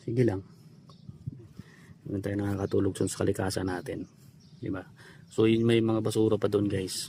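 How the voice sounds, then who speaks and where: The tone is dark and mellow, a little breathy, with flat, monotone intonation. Delivery runs at a moderate pace, broken by long, frequent pauses. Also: man, fairly low pitch for a man. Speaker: vlogger. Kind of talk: casual vlog narration.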